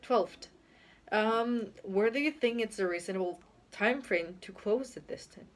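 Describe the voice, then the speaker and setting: Her speech has a Spanish accent and ordinary pitch variation as this woman talks. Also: fairly high pitch for a woman. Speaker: YouTuber. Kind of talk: casual vlog monologue. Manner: hesitant, with fillers.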